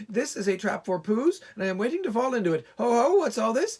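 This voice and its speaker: In a put-on, squeaky character voice, the speaker rattles along at a very fast pace with a fairly high pitch. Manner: quick, unsettled.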